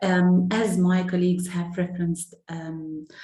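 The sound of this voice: A woman's dark, mellow tone, fairly low in pitch, at a fairly slow pace with audible room echo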